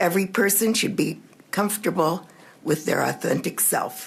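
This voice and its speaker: A woman speaks with an American accent and vocal fry. Her pitch varies in an ordinary way. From Missouri, St. Louis. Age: 70s. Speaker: public hearing witness. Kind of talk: testimony. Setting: legislative committee hearing. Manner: formal.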